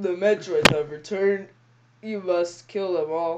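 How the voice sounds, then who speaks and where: In a put-on character voice, the speaker talks at a middle pitch and fairly slow pace. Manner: flat, commanding.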